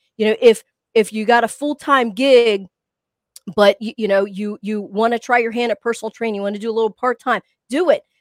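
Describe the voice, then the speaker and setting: A woman's fairly high-pitched voice with an animated, playful tone and a slight country accent, dry and close with no echo. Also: fairly quick pace. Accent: slight country twang. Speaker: co-host fitness podcaster. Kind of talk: casual chat, banter.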